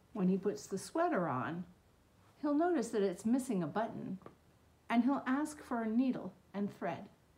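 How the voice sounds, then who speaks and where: A somewhat breathy woman's voice, dark and mellow in tone, with very wide pitch swings. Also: moderate pace. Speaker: children's storytime host. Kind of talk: read-aloud and craft tutorial for kids. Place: home room. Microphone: phone near.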